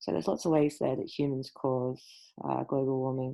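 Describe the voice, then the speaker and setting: A woman with an Australian accent speaks at a moderate pace in a very deep, low voice with fairly even intonation. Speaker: school science teacher. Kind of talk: recorded lesson.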